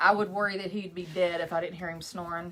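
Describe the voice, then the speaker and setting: Flat and monotone, a woman with a medium pitch speaks in a West Texas accent. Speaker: craft maker. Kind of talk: live craft tutorial. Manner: casual, chatty.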